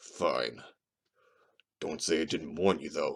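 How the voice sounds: A man speaks at a fairly slow pace in a put-on character voice. His tone is raspy.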